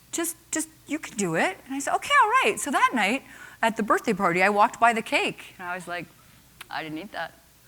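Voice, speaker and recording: A woman talks at a fairly quick pace and fairly high pitch, with very wide pitch swings, big swings in loudness and noticeable background noise. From Nova Scotia, Canada. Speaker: entrepreneur and keynote speaker. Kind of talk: keynote speech. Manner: animated.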